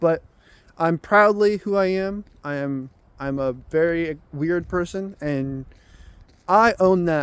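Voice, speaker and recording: The speaker has a Southern US accent. Their pitch varies in an ordinary way. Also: man. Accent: Southern US accent, says y'all. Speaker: vlogger. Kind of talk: casual monologue. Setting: outdoors, walking while filming. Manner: halting, many repeats and fillers.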